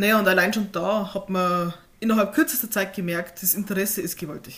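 A woman speaks at a moderate pace in a somewhat breathy, medium-pitched voice with fairly even intonation. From Upper Palatinate, Bavaria (Hohenfels). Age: 20s. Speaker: author. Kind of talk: casual interview.

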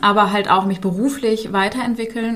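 Audible room echo surrounds a woman speaking at medium pitch and a moderate pace. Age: 40s. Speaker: business coach. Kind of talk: interview. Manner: hesitant with frequent fillers.

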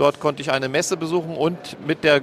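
This man has a plain, everyday voice, fairly high in pitch, and talks at a moderate pace. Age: 50s. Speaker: former mayor. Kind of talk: interview. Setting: trade fair stand.

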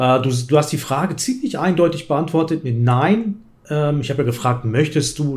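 At a fairly quick pace, the somewhat breathy voice shows ordinary pitch variation. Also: man. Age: 50s. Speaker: chess YouTuber and streamer. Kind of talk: casual chat.

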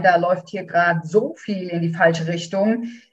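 A woman with a somewhat breathy voice keeps a moderate pace and a fairly even intonation. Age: 50s. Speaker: doula. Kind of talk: interview.

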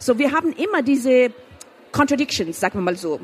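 Over noticeable background noise, a woman's voice swings very widely in pitch. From Afghanistan. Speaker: author and filmmaker. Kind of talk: interview. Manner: halting, with repetitions and English code-switching.

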